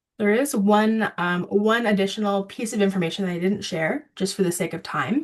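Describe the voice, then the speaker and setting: A woman with a plain, everyday voice and a medium pitch talks at a moderate pace with hardly any pauses and ordinary pitch variation. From Ontario, Canada. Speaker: water education presenter. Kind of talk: video call presentation.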